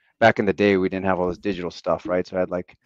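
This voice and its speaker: A man with an American accent, with music in the background. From Western Pennsylvania, near Pittsburgh. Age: 40s. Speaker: national team football coach. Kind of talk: podcast interview.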